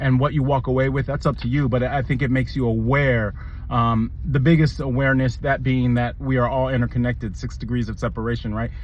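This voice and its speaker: A man at medium pitch, with monotone, flat intonation, a fairly quick pace and hardly any pauses. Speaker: video commentator. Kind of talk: movie review monologue. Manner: fast.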